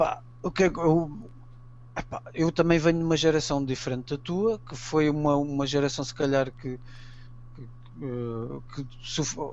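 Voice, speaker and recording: A man talks at a fairly slow pace. His pitch is fairly high, with ordinary variation. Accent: Portuguese. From Portugal. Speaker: amateur archaeology enthusiast. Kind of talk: interview.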